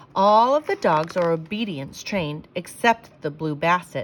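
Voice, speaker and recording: A woman puts on a character voice at a medium pitch. She delivers it at a moderate pace. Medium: read story.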